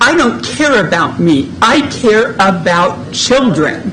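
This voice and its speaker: A woman talks amid clear background noise, her voice echoing audibly in the room. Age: 70s. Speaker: resident speaker. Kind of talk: public comment. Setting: public meeting.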